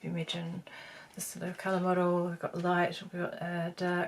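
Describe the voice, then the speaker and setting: Somewhat breathy, a woman talks with monotone, flat intonation. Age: 50s. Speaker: beauty vlogger. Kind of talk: tutorial. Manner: halting; casual.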